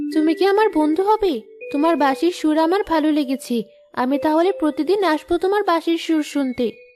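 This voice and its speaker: A cartoonish character voice that sounds female comes in at an extremely high pitch and a moderate pace. Clear music plays behind it. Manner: sweet, warm.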